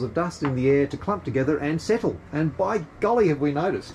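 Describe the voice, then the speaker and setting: A man talks with lively intonation at a fairly high pitch. Noticeable background noise runs behind him. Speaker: sailing vlogger. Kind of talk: casual demonstration vlog. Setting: aboard a sailing yacht. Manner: halting, many fillers; soft-spoken.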